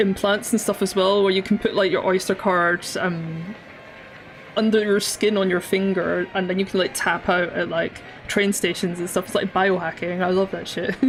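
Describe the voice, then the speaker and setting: A woman talks at a moderate pace and medium pitch with music in the background. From Scotland. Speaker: digital artist streamer. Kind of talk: casual live-stream chat while drawing. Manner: casual, with many fillers and repetitions.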